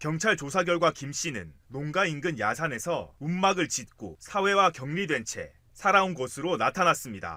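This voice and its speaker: A bright, sharp tone and lively intonation come through on a very clean recording with a silent background. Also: man. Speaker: news reporter. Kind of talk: TV news report voice-over.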